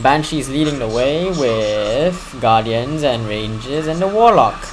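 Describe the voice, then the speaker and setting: Lively intonation marks a man's fairly high-pitched speech. Audible room echo and noticeable background noise come through. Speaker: gaming commentator. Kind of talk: live game commentary. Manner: fast; animated.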